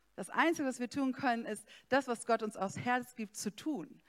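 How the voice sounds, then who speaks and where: Speaking at a fairly slow pace, a woman uses a high pitch. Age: 40s. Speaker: pastor. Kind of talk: sermon.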